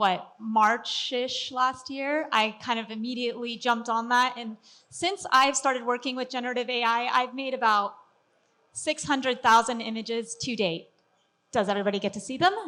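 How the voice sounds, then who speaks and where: Loud and high-pitched, a woman speaks at a moderate pace with ordinary pitch variation. The recording is very clean, with a silent background. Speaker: 3D artist and workflow specialist giving a talk. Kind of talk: conference presentation.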